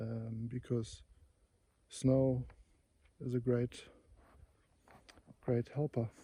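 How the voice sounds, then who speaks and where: A man's somewhat breathy whisper at a very slow pace, with long, frequent pauses. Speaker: wildlife photographer. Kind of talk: vlog narration outdoors. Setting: outdoors in snowy forest. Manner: whispering; hesitant, many fillers.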